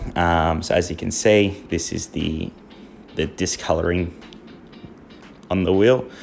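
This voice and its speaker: Music plays in the background as a man talks with an Australian accent. His pitch is very deep and low, with ordinary variation. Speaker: car detailer. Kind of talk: product review tutorial. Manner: halting, many fillers.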